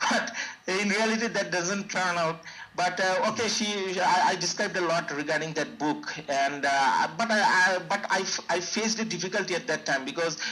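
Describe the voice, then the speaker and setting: A man projects his raised voice at a high pitch and very even loudness over noticeable background noise. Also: ordinary pitch variation. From Bangladesh. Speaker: IELTS test taker. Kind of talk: interview. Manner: fast; hesitant, many fillers and repeats.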